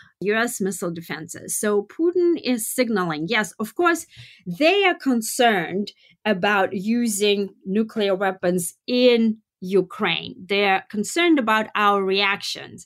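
A woman's fairly slow, lively speech in a Russian accent, on a very clean recording with a silent background. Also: medium pitch for a woman. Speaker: political analyst. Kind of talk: interview.

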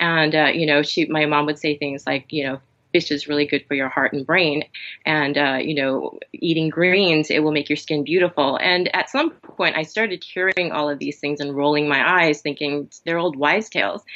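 A woman talks at a moderate pace with an American accent. Her pitch is very deep and low, and her intonation stays fairly even. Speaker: functional health coach and massage therapist. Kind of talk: interview conversation. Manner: halting, many fillers.

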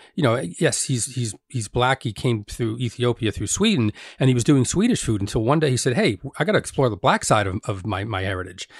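A somewhat breathy man with an American accent, medium pitch, a fairly quick pace, and a very clean recording over a silent background. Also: lively intonation. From New Jersey (Elizabeth). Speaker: chef and podcast host. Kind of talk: casual interview conversation. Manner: halting, frequent repetitions.

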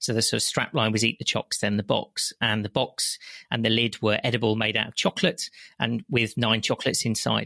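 Speaking at a fairly quick pace in a West Midlands accent, a man keeps his loudness very even, and the sound is dry and close with no echo. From West Midlands, England. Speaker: chocolate entrepreneur and business consultant. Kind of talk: interview conversation.

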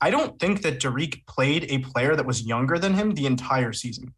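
A man with an unremarkable speaking voice talks at a fairly quick pace, his pitch medium with ordinary variation. The background is quiet. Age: 20s. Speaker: basketball draft scout. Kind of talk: casual chat.

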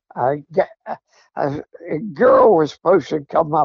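Speech comes at a very slow pace. The speaker is a man with an American accent. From Pennsylvania. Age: 80s+. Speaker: coon hunter, regular contributor. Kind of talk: storytelling. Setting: phone call.

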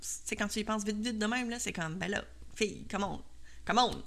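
A woman with a Quebec accent, at a fairly quick pace. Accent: Québécois French. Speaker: podcast host and cake design instructor. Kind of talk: solo podcast monologue. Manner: hesitant, many fillers.

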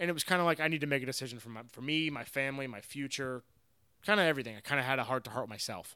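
A man with an American accent talks at a very fast pace in a bright, sharp, fairly high voice with ordinary pitch variation. His loudness swings widely, and the recording is very clean with a silent background. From Florida. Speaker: former professional golfer. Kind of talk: casual interview.

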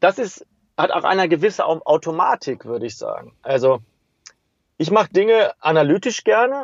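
Very wide pitch swings from a high-pitched man at a moderate pace. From western Germany, Hagen near Dortmund. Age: 40s. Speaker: street pianist. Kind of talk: interview.

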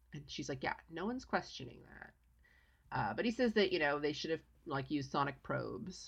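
A woman talks at a fairly quick pace with a very deep, low pitch and vocal fry. Her pitch swings very widely. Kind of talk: casual chat. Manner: snarky, joking.

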